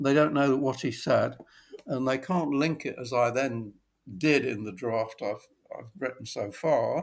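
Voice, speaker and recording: On a very clean recording with a silent background, a man speaks with a British accent. His pitch is medium with ordinary pitch variation, and his pace is moderate. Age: 80s+. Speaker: copywriter. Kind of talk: interview answer.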